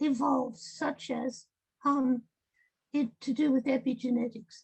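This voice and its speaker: A very slow voice with an Australian accent, a dark, mellow tone and ordinary pitch variation. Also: woman. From Australia, rural. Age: 80s+. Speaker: medical ethnographer. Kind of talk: interview. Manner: halting, many fillers.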